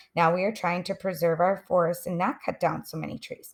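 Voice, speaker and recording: A female-sounding voice does a put-on character voice at a middle pitch. It moves at a fairly quick pace and sounds raspy. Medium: read story. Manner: polite, helpful.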